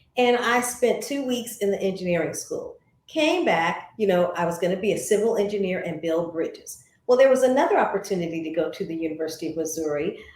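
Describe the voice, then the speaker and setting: A woman with an American accent speaks at a moderate pace with lively intonation. Audible room echo surrounds her voice. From US Midwest, St. Louis. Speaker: former TV journalist and voice actor. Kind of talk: interview.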